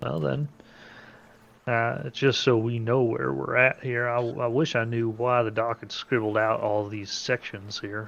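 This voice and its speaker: A man speaks in a plain, everyday voice at a medium pitch and a fairly slow pace, with ordinary pitch variation. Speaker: tabletop game player. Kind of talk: tabletop roleplaying session, in character.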